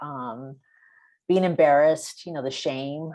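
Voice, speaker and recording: Against a quiet background, a woman with an American accent talks at a fairly slow pace in a very deep, low pitch. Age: 60s. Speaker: filmmaker and historian. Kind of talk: Q&A answers.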